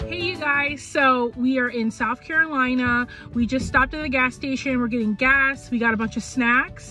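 Faint music plays behind a woman with a high pitch and ordinary pitch variation, recorded with a dry sound and no echo. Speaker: travel vlogger. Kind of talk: casual vlog chat. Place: car. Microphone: phone near.

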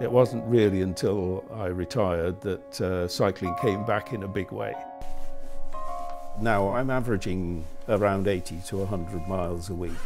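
With clear music playing behind him, a man speaks in a very deep, low voice with ordinary pitch variation. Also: moderate pace. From England. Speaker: retired amateur cyclist. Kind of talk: interview answer. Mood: warm, reminiscing. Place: home room.

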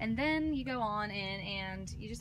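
There is noticeable background noise. Through it, a woman talks. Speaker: vlogger. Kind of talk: casual vlog chat. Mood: cheerful, enthusiastic. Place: car.

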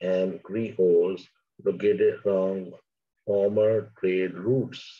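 Speaking at a slow pace, a man has a fairly low pitch, a dark, mellow tone and a slightly husky edge.

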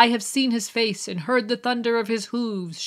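A woman speaks in a put-on character voice. Her pace is moderate. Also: fairly high pitch for a woman. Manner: proclaiming a prophecy.

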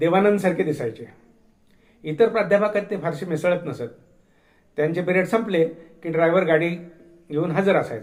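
High-pitched male speech with ordinary variation in pitch. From Marathwada, Maharashtra (Latur region). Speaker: retired storyteller recounting memoirs. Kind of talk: memoir narration.

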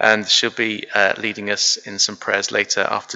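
A man is talking. His pace is fairly slow. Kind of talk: service welcome and scripture reading. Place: church.

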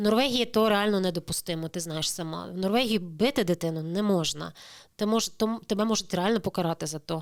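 A woman speaks in a plain, everyday voice at medium pitch with ordinary pitch variation. The recording is very clean, with a silent background. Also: fairly quick pace. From Crimea, Ukraine. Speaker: immigrant sharing experience. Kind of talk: interview.

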